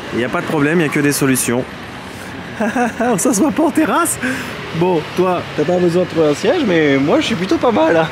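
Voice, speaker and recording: A man with a Parisian accent, high-pitched and animated, with very wide pitch swings, a moderate pace, long, frequent pauses and noticeable background noise. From Paris area. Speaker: travel vlogger. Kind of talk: casual vlog chat.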